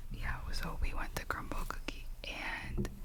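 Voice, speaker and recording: A woman's whisper over noticeable background noise. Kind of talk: ASMR whisper ramble. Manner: whispered, soft-spoken.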